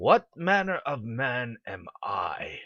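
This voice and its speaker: This is a put-on character voice. It sounds raspy. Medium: read story.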